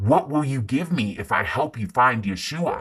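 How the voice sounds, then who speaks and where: Putting on a growling character voice, a man talks at a moderate pace and medium pitch with lively intonation. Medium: read story. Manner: muttering, resentful.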